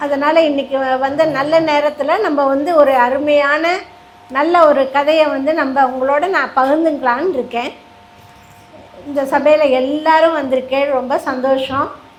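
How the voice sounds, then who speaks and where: Over noticeable background noise, a woman speaks in a high-pitched voice with monotone, flat intonation. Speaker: storyteller. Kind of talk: religious story discourse to a live audience. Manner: warm, graceful.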